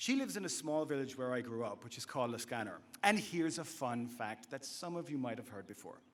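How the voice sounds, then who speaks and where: Speaking with an Irish accent at a moderate pace, a man swings his pitch very widely, with audible room echo. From west of Ireland, County Clare. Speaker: commencement speaker, university instructor. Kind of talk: commencement speech. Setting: stage with audience.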